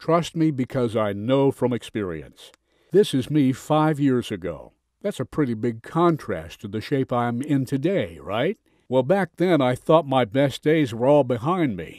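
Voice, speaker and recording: A man with an unremarkable speaking voice talks at a medium pitch and a fairly slow pace, his intonation lively. The recording is very clean and dry, close with no echo, against a silent background. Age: 60s. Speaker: sales presenter. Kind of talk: sales pitch.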